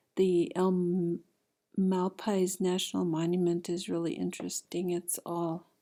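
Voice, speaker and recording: The pace is fairly slow. The recording is very clean, with a silent background. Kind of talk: family history slide show narration.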